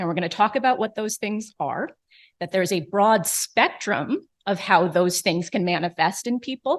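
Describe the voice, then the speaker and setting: Against a quiet background, a woman with an American accent speaks in a normal speaking voice at a medium pitch and moderate pace, with lively intonation. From New York. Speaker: neurologist. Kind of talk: lecture.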